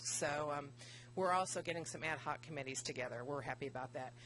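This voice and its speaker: A woman speaks in an East Tennessee accent. Her pitch varies in an ordinary way. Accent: Southern US (East Tennessee). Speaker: business association director. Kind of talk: presentation at town board meeting. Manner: fast.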